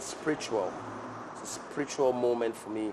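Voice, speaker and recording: Speaking at a moderate pace with fairly even intonation, a man is heard over noticeable background noise. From Ghana, Ga people from Accra. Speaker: guest, music and culture enthusiast. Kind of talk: interview conversation. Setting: cafe, on camera. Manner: repetitive, hesitant phrasing.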